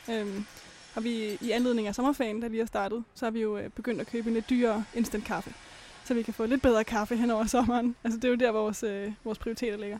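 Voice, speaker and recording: Very fast delivery in a flat, monotone intonation. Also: woman, fairly high pitch for a woman. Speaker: student rocket builder. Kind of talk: interview. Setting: studio.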